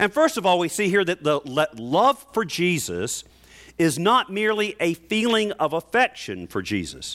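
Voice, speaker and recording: A man with a Southern US accent talks at a moderate pace in a high pitch, with very wide pitch swings, in a dry, close sound with no echo on a very clean recording with a silent background. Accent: Southern American. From US South, North Carolina. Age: 50s. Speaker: pastor. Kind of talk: sermon. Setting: church.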